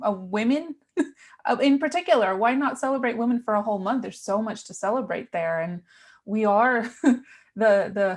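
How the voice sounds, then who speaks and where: Her voice is fairly high for a woman and somewhat breathy, with lively intonation, big swings in loudness, a moderate pace and a quiet background. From New York, US. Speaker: virtual assistant business coach. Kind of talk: podcast interview guest, casual chat.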